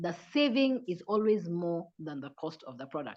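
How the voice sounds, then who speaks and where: A woman speaks in a normal speaking voice. Her intonation is lively and her pace moderate. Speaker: business presenter. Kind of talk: online sales presentation.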